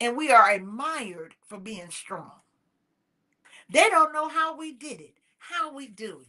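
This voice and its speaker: Raised and projected, a woman's bright, sharp voice makes very wide pitch swings at a moderate pace. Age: 60s. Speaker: talk show host. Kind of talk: motivational talk. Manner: impassioned.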